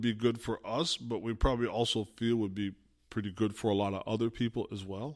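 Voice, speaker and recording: Very clean audio of a male speaker, background totally silent. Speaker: imam and podcast host. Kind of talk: casual chat. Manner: animated.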